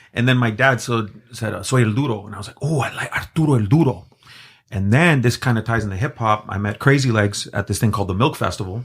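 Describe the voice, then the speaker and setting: On a very clean recording with a silent background, a man talks very fast in a somewhat breathy, medium-pitched voice with ordinary pitch variation. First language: Spanish. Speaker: graffiti artist and designer. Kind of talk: casual chat.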